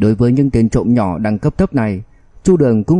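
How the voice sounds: What you hear is a natural reading voice.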